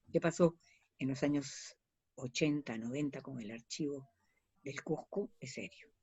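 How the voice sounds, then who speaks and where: A woman's very deep, low voice with long, frequent pauses. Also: ordinary pitch variation, fairly slow pace, big swings in loudness. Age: 70s. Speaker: historian and archives advocate. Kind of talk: interview. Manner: animated.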